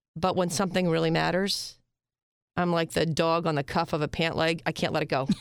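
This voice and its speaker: Fairly quick, very evenly loud speech from a woman with a fairly low pitch, vocal fry and fairly even intonation. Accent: American. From Pennsylvania, York. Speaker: surgeon and integrative medicine director. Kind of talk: interview. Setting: studio.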